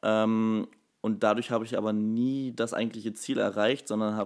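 A man's fairly low pitch in monotone, flat intonation. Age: 20s. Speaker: personal trainer and nutrition coach. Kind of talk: casual interview. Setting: studio, sitting next to host.

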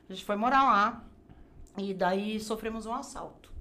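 A woman's medium-pitched voice with vocal fry, a bright, sharp tone and audible room echo. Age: 50s. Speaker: graphic designer and crafts teacher. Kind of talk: casual interview chat.

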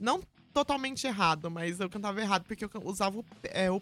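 A medium-pitched woman with ordinary pitch variation on a very clean recording with a silent background. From São Paulo state countryside, Brazil. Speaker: metal vocalist and music business professional. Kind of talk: casual chat.

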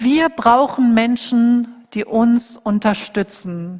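A woman speaks at a high pitch. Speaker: preacher. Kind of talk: sermon; fervent prayer, earnest intercession closing the sermon. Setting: church. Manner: earnest, intense, pleading; warm, heartfelt, steady.

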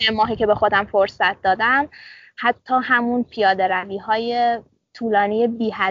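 Monotone and flat, a woman's fairly high voice moves at a moderate pace. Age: 20s. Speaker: medical student. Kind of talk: casual interview. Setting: outdoors in dorm courtyard.

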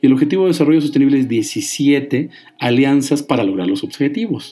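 At a fairly quick pace, a man with a normal speaking voice speaks in a medium pitch. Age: 40s. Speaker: radio host. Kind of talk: radio talk show.

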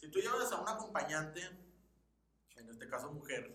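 Room echo can be heard in this clip. The man speaks at a moderate pace. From Mexicali, Baja California, Mexico. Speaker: podcast co-host. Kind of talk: casual chat.

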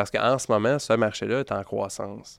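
A Quebec accent with ordinary pitch variation against a quiet background. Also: man. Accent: Québécois French. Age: 30s. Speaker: marketing agency owner. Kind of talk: casual interview.

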